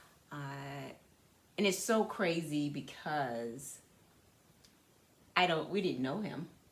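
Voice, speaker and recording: Slowly and with long, frequent pauses, a woman with a very deep, low pitch uses lively intonation, and audible room echo is present. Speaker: podcast co-host. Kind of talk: casual chat.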